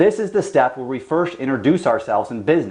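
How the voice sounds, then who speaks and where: Very wide swings of pitch in a man's fairly high voice. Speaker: SEO agency owner. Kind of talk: tutorial. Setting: office with whiteboard and camera. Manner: fast.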